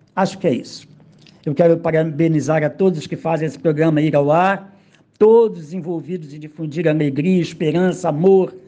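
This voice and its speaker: With a Rio de Janeiro accent, a man speaks at a moderate pace in a fairly high pitch, his tone dark and mellow and his pitch varying in an ordinary way. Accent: Carioca Brazilian Portuguese. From Rio de Janeiro suburbs, Brazil. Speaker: poet. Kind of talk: recorded autobiographical monologue.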